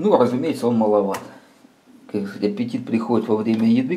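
The voice belongs to a man. Pitch shifts by an ordinary amount. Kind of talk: casual product review talk. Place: workshop. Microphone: camera far.

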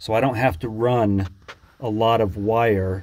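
A man's fairly low voice comes out somewhat breathy, its pitch varying in an ordinary way. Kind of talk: tutorial. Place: boat. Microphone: phone near.

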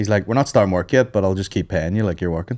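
With a Northern Irish accent, a man speaks in a very deep, low pitch and a dark, mellow tone against a quiet background. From Northern Ireland. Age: 30s. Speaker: comedian. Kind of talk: casual chat. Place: studio. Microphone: studio mic.

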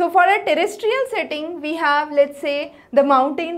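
At a moderate pace, a woman speaks with a high pitch and lively intonation. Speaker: teacher. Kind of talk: lecture. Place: classroom. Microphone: lapel.

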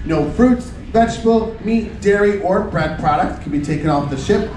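Here a man talks at a moderate pace with a high pitch and ordinary pitch variation. There's audible room echo and light background noise. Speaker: cruise excursion staff host. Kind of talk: announcement briefing. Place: hall.

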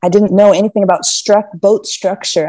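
Against a quiet background, a woman speaks at medium pitch with a dark, mellow tone and fairly even intonation. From US East Coast. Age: 20s. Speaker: sailor; podcast guest. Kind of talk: casual chat. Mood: relaxed, thoughtful. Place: home room. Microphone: earbuds.

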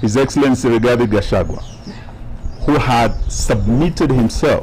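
The speech comes at a fairly slow pace with ordinary pitch variation over light background noise. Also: man. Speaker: politician at press conference. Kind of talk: press statement. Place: street. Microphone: handheld.

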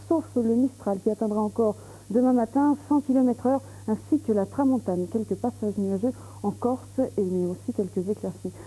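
A woman talks at a moderate pace. Her loudness stays very even throughout. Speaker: TV presenter. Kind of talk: weather forecast presentation. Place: studio. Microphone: lapel.

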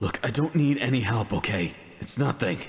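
Putting on a raspy character voice, a man talks at a moderate pace in a medium pitch with lively intonation. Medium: audio drama. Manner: gruff, sarcastic.

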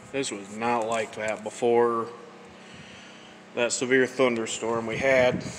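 A man's slow voice with little pitch movement, faint background noise behind it. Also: medium pitch for a man.

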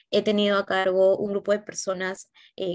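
Against a quiet background, a woman talks at a fairly slow pace with a medium pitch. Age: 20s. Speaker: job candidate in a mock interview; interview candidate. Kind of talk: simulated job interview. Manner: hesitant, many filler sounds. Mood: calm, earnest. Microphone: video call.

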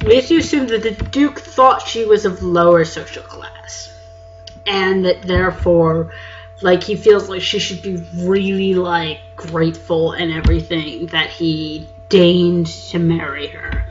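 Woman speaking at a fairly slow pace over music in the background. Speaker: literature lecturer. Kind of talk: casual talk to camera. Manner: rambling, casual.

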